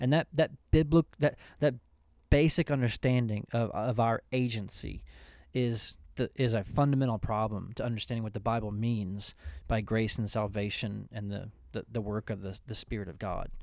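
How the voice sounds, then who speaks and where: A man's plain, everyday voice at medium pitch, with ordinary pitch variation and a moderate pace, in a very clean recording with a silent background. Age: 40s. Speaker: pastor and podcast co-host. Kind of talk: casual theological discussion.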